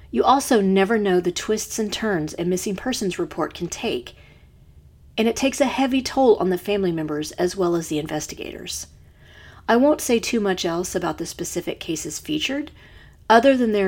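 A normal speaking voice with lively intonation moves at a fairly quick pace on a very clean recording with a silent background. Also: woman. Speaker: true crime podcast host. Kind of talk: true-crime narration, scripted and read with a serious, measured tone. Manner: measured, sombre, formal; clear, steady, informative.

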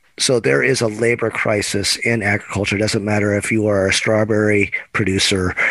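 Fairly even intonation from a man, with noticeable background noise behind him. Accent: American. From Oregon, Eugene. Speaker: agricultural trade association director. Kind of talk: podcast interview.

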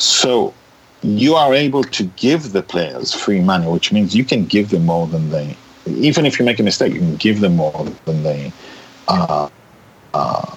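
A man talks at a fairly low pitch and a moderate pace, with very wide pitch swings and long, frequent pauses. Noticeable background noise runs behind him. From Israel. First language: Hebrew. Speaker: writer and director. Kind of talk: interview conversation.

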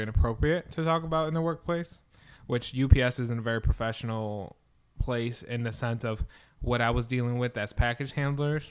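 On a very clean recording with a silent background, a man speaks at a fairly quick pace with medium pitch and ordinary pitch variation. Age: 20s. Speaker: podcast host. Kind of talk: solo monologue podcast. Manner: many fillers and hesitations.

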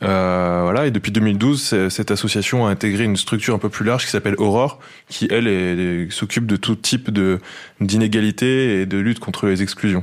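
A man with an ordinary speaking voice talks at a moderate pace in a fairly low pitch. His loudness stays very even, and his intonation is fairly even. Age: 20s. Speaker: football journalist. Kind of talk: field report.

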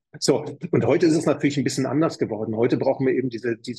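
Talking very fast, a man uses medium pitch, fairly even intonation and vocal fry. The sound is dry and close, with no echo. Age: 50s. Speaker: fitness studio chain manager. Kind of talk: interview.

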